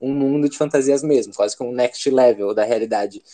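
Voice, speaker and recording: A man with a dark, mellow tone and fairly high pitch speaks over a quiet background. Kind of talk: casual interview chat.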